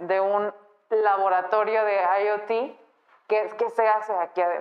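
Fairly even intonation from a woman with a fairly high pitch, at a very slow pace. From Guadalajara, Mexico. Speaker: podcast host. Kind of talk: interview. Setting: studio.

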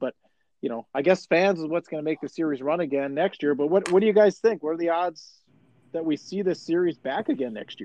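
With an American accent, a man talks at a fairly quick pace in a plain, everyday voice. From Chisholm, northern Minnesota. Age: 40s. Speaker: podcast host. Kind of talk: casual chat.

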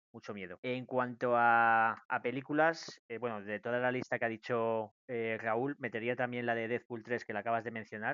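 A man speaks at medium pitch and a moderate pace, his intonation monotone and flat. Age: 30s. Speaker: podcast co-host. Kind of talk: casual chat.

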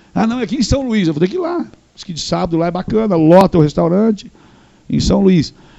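A man with lively intonation. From northern Paraná, Brazil. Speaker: radio host and TV presenter. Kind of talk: casual interview chat.

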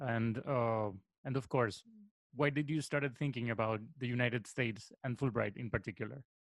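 Medium-pitched male speech with a Spanish accent, fairly even intonation and a moderate pace. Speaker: radio host. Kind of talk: interview.

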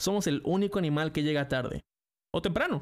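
A man speaks at a very fast pace with a Mexican accent. The recording is very clean, with a silent background. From Mexico. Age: 20s. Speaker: podcaster and streamer. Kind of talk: scripted monologue.

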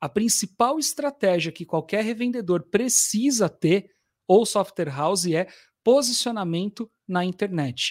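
A man with a high voice speaks at a fairly slow pace on a very clean recording with a silent background. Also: lively intonation, dry, close sound with no echo. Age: 40s. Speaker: sales education company director. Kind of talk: casual interview.

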